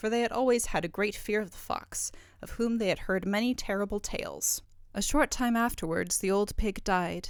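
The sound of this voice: Someone reads in an unforced voice.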